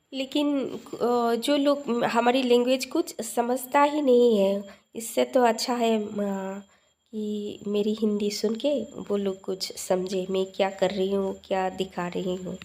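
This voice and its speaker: Woman with a non-native accent and fairly high pitch. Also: ordinary pitch variation. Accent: non-native Hindi, self-described weak Hindi. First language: a regional language other than Hindi (speaking Hindi). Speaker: cooking vlogger. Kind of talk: cooking tutorial. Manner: halting, many fillers.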